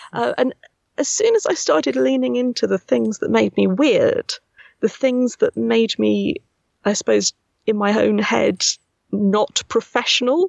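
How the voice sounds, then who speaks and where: A woman in a Buckinghamshire accent, at a fairly slow pace and very even loudness, in a dry, close sound with no echo. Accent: English, Milton Keynes. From Milton Keynes, England. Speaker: voice actress and casting director. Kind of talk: casual interview chat.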